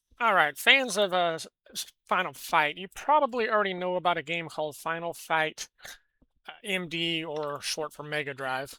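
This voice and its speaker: On a very clean recording with a silent background and a dry, close sound with no echo, a woman with an American accent and a bright, sharp tone speaks at a moderate pace and fairly low pitch, with lively intonation and big swings in loudness. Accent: self-described weird. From California. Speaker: gaming news commentator. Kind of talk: casual news commentary. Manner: halting, many fillers and restarts.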